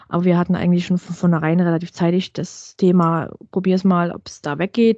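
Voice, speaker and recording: With a dark, mellow tone, a woman speaks at a fairly quick pace in a dry, close sound with no echo. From Saxony, Ore Mountains (eastern Germany). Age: 30s. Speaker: blogger and mother of a child with eczema. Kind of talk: casual interview.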